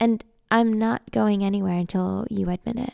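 With a dramatic tone and a dark, mellow quality, a woman speaks at a very slow pace and a fairly high pitch in a dry, close sound with no echo. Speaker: audio drama narrator. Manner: dramatic, conspiratorial, changing pitch and attitude between characters; sly and deadpan in the narration, heated when arguing.

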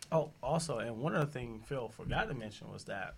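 Speaking at a fairly quick pace, a man uses lively intonation with vocal fry. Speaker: assistant to nonprofit president, boot camp organizer. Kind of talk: interview answers.

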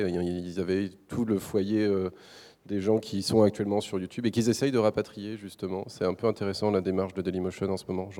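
A dark, mellow tone in monotone, flat intonation at a very fast pace, on a very clean recording with a silent background. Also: man. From Brittany, France. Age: 30s. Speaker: video creator and web platform founder. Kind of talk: panel discussion. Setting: stage with audience.

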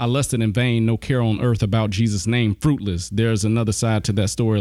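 A man with a Southern US accent, fairly low in pitch and fairly quick in pace. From US South, south Alabama. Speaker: pastor and apologetics teacher. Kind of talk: casual chat.

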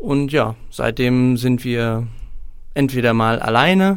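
This man speaks at a medium pitch. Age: 20s. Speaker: singer-songwriter and student. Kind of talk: casual interview. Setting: studio.

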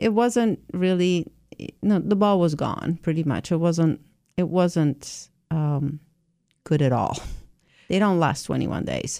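A woman with an Italian accent speaks at a fairly low pitch in a dark, mellow tone. Her pace is fairly slow, with long, frequent pauses. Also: ordinary pitch variation. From southern Italy. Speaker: cheesemaker. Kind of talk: radio interview.

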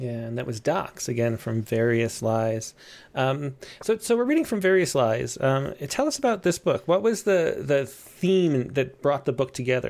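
A man with an unremarkable speaking voice and a medium pitch speaks at a moderate pace with lively intonation. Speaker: poetry magazine editor and show host. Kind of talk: casual live-stream interview. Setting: video call. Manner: filler-heavy, rambling.

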